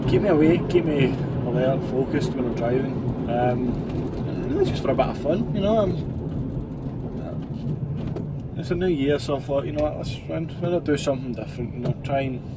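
A man talks at a fairly quick pace with ordinary pitch variation. Loud background noise runs underneath. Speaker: van driver vlogger. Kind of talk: casual vlog chat. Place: car. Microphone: phone near.

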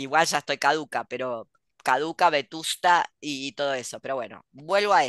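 Against a quiet background with a dry sound and no echo, a woman with a very deep, low pitch speaks at a moderate pace, with ordinary pitch variation and big swings in loudness. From Argentina. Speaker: podcast host and writer; host. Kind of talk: casual chat. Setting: video call. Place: home room. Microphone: headset.

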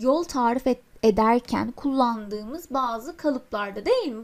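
A woman speaks at a fairly slow pace. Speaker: English teacher. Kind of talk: lecture. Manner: halting.

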